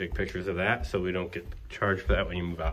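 The man speaks at a very fast pace. Vocal fry runs through his voice. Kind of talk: casual walkthrough narration. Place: empty room. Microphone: phone near.

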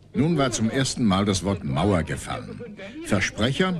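A man's dramatic voice at a moderate pace, with very wide pitch swings and noticeable background noise. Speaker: documentary narrator. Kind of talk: 1980s TV documentary narration, scripted and solemn. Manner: measured, formal, dramatic, newsreel-style delivery.

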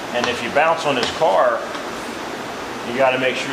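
A man speaks over loud background noise. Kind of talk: tutorial demonstration. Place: garage.

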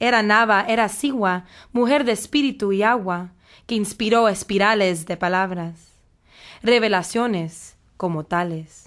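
In a very clean recording with a silent background, a woman speaks at a fairly slow pace in a dramatic, animated tone. Her medium pitch moves with ordinary variation. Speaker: poet performing spoken word. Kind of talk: poetry performance, spoken word. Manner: dramatic, animated, shifting between voices; defiant and sassy, playful.

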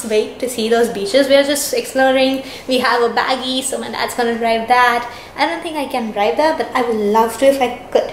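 A woman speaks fairly quickly in a high voice with fairly even intonation. Audible room echo and light background noise are present. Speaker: travel vlogger. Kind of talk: casual vlog chat. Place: home room. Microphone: phone near.

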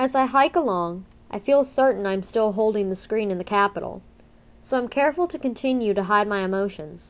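Lively intonation from a woman at medium pitch, a plain, everyday voice, at a fairly quick pace. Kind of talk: literary audiobook reading, first-person narration of a novel. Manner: steady, measured storytelling pace with tense, suspenseful build.

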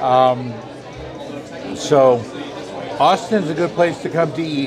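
Amid crowd noise, a man with an American accent speaks at a moderate pace, his pitch fairly high with ordinary variation. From California. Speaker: food travel vlogger. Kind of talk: outro to camera; casual chat.

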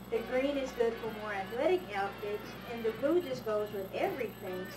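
A woman talks at a moderate pace. Music plays clearly in the background. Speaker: student promoting a product. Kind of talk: product promotion read. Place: home room. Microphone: old recording.

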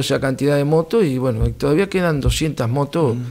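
A man's fairly high voice, dark and mellow in tone, at a moderate pace. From Argentina, Buenos Aires province. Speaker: municipal security director. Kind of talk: interview; interview answer. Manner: formal; halting. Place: studio. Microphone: studio mic.

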